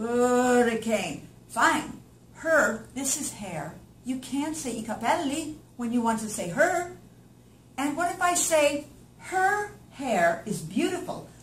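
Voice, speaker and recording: A woman with an American accent speaks very slowly, her high pitch swinging very widely. Noticeable background noise and audible room echo surround her. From northern US. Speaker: English teacher. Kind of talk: promotional pitch for a language course. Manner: animated.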